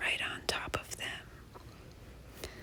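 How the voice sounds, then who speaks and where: Whispering in a gentle tone, a woman speaks over noticeable background noise. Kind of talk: whisper ASMR nature walk narration. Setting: outdoors, snowy forest. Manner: whispered, soft, gentle.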